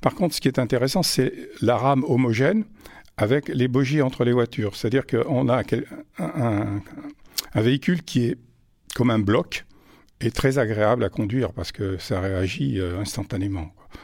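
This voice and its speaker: Intonation is lively as a man talks at a medium pitch and a moderate pace. He leaves long, frequent pauses. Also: big swings in loudness. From France, Auvergne (Vichy). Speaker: retired railway traction chief. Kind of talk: interview testimony. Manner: halting, repeats words.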